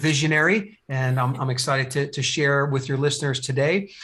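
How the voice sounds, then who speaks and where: Speaking with an American accent, a man with a fairly high pitch keeps a moderate pace and fairly even intonation. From New Jersey. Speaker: business coach. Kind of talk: podcast interview. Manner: halting, many fillers and repeats.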